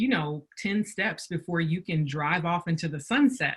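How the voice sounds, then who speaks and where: A woman speaks with a Southern US accent at a medium pitch. Her pace is fairly slow and her intonation lively. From US South. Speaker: business workshop presenter. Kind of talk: webinar presentation.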